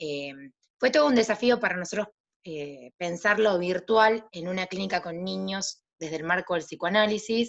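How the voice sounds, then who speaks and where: Lively intonation at a moderate pace, with big swings in loudness. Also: woman, medium pitch for a woman. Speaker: psychologist and practicum supervisor. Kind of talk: panel talk. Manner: halting.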